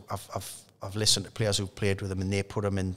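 In a Geordie accent, a man speaks with fairly low pitch and monotone, flat intonation. The background is quiet. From north-east England (Newcastle). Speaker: former professional footballer; guest. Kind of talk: casual interview. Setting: at the stadium bar. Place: studio. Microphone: studio mic.

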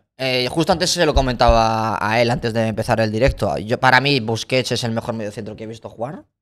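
A man talks at a fairly quick pace with hardly any pauses. His pitch variation is ordinary, and the background is quiet. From Georgia, moved to Spain as a teen. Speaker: content creator and footballer; content creator. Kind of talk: casual interview chat. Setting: livestream studio. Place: studio. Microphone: studio mic.

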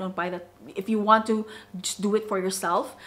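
A woman with a normal speaking voice talks at a moderate pace, fairly high in pitch and fairly even in intonation. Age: 30s. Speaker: fragrance YouTuber. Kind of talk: product review vlog. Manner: casual, filler-heavy.

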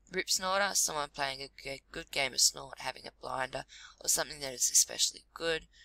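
The recording sounds dry and close, with no echo. A woman talks fairly quickly. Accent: Australian. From Australia. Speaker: vlogger. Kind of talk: reading aloud. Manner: halting.

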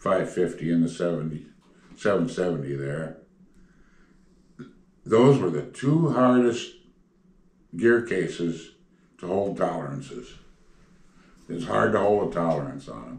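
With long, frequent pauses and a fairly slow pace, a man speaks at a very deep, low pitch with vocal fry, big swings in loudness and audible room echo. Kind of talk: interview answer. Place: home room.

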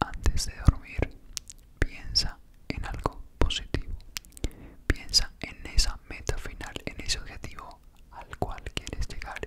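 Whispering and soft-spoken, a man talks at a very slow pace with long, frequent pauses. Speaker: ASMR creator. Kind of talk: soft ASMR whispered encouragement. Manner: soft ASMR whisper close to microphone. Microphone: handheld.

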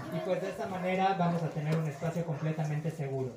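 High-pitched male speech with fairly even intonation, audible room echo and light background noise. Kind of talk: welcome speech. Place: cafe. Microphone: pa.

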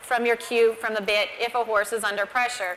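Over light background noise, a woman talks at a moderate pace in a high voice with fairly even intonation. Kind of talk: lecture. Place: stage. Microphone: lapel.

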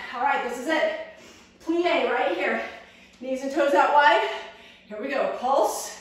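Strong room echo surrounds a woman who speaks at a very slow pace with a high pitch. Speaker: fitness instructor. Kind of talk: workout instruction. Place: gym. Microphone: camera far.

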